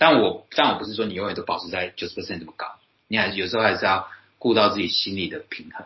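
A man's fairly low voice with ordinary pitch variation, delivered at a very fast pace. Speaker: podcast host. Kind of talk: casual chat.

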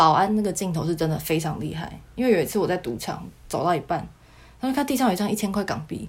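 With a Taiwanese accent, a woman with a fairly low pitch speaks at a very fast pace, her pitch swinging very widely. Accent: Taiwanese Mandarin. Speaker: former casino worker. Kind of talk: casual interview chat.

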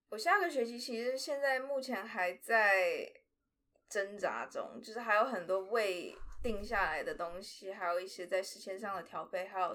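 A woman speaks slowly in a bright, sharp tone. Her pitch sits in the medium range, with ordinary variation. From Taiwan, with four years in Shanghai. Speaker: drama student. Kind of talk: interview. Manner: halting, stumbles for words.

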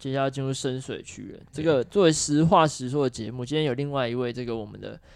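A man speaks in an unremarkable speaking voice at medium pitch and a fairly quick pace. The background is quiet. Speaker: legislative aide hosting podcast. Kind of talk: casual chat.

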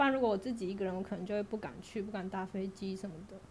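The woman's voice is somewhat breathy. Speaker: guest sharing working holiday stories. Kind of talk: casual chat. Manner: calm and even.

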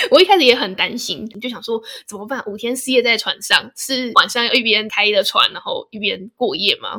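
A woman with an unremarkable speaking voice talks at a fairly high pitch and a moderate pace, with ordinary pitch variation. She hardly pauses, and her loudness swings widely. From Taiwan, Hsinchu. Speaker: podcast host. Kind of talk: casual chat.

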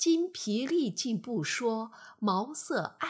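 Lively intonation throughout a natural reading voice

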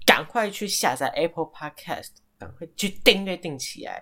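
The man's tone is bright and sharp, and he moves at a fairly slow pace. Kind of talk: casual radio show talk. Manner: soft-spoken.

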